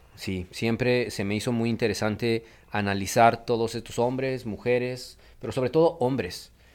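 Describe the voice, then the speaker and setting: A man speaks at a fairly slow pace in a normal speaking voice with medium pitch. The recording is very clean, with a silent background. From Mexico City. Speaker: migration researcher. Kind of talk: radio interview.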